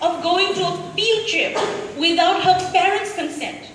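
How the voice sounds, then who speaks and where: Against noticeable background noise, a woman speaks very slowly at an extremely high pitch. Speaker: spoken word poet. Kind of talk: spoken word poetry performance. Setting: live event.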